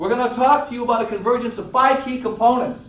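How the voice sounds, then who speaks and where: Noticeable background noise and audible room echo surround the recording. A man with a Boston accent speaks at a high pitch. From Boston, Massachusetts. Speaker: network marketing distributor. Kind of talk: sales pitch.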